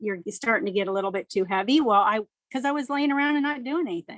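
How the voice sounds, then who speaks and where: This woman has a normal speaking voice, fairly high in pitch with ordinary variation. The sound is dry and close, with no echo. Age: 60s. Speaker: cancer survivor. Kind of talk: testimony.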